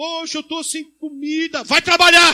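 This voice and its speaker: A man uses a raised, projected voice with a bright, sharp tone. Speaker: pastor. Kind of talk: sermon. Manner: fast.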